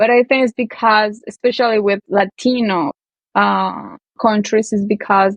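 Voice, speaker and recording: A woman speaks at a fairly high pitch and a fairly slow pace. Her intonation is fairly even and her loudness very even. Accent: Colombian. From Colombia. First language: Spanish. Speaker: language teacher. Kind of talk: interview answer. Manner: casual, conversational.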